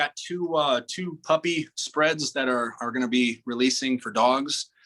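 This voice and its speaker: Spoken with an American accent at a fairly slow pace, this is an unremarkable speaking voice with ordinary pitch variation. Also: man, medium pitch for a man. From South Dakota, US Midwest. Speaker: pro bodybuilder and fitness model. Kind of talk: podcast interview. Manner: casual, filler-heavy.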